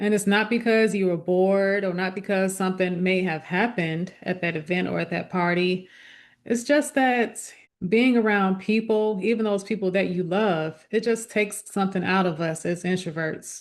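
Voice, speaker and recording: Against a quiet background, a woman with a plain, everyday voice and a medium pitch talks at a moderate pace with fairly even intonation. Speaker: lifestyle vlogger. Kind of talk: casual talk to camera.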